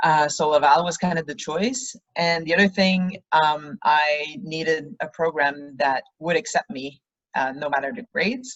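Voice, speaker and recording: A woman speaks in a very deep, low pitch with a Quebec accent. Her intonation is lively and her pace fairly slow. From Quebec, Canada. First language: French. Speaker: rugby player. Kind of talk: interview.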